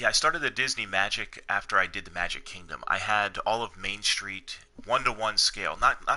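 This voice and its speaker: Quiet and at a fairly quick pace, a man talks with hardly any pauses. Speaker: video game streamer. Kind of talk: live game stream chat. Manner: quiet, low-key; hesitant, repeats words.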